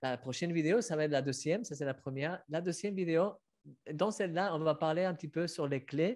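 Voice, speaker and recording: Talking at a fairly quick pace over a quiet background, a man with a slight Spanish accent has a fairly high pitch. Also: ordinary pitch variation. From Spain. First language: Spanish (speaking French). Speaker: author and online show host; online show host. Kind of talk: casual interview. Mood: warm, moved. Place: home room. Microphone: webcam.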